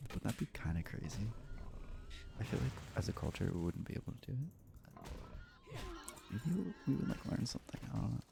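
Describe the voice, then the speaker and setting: This soft-spoken voice moves at a moderate pace, broken by long, frequent pauses. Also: man. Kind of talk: ASMR soft-spoken; casual gaming commentary.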